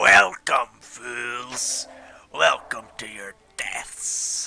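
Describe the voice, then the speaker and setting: A man uses a booming, loud, put-on character voice at medium pitch. He speaks at a very slow pace. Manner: malevolent.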